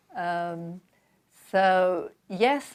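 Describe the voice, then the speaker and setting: A woman speaks with a London accent. Her pitch is medium and her intonation fairly even. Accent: British, London. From London, England. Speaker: author, seminary graduate. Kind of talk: interview.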